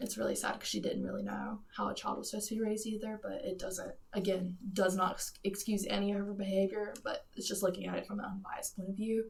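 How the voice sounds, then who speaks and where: A woman talks at a very fast pace with hardly any pauses, over noticeable background noise. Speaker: podcast co-host. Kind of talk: casual discussion podcast.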